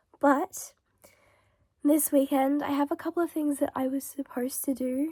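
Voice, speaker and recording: Dry and close with no echo, the recording carries a woman's high, dark and mellow voice in an Australian accent with monotone, flat intonation. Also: moderate pace. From Melbourne, Australia. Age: 20s. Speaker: vlogger. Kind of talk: casual vlog talk to camera. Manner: frequent throat clearing.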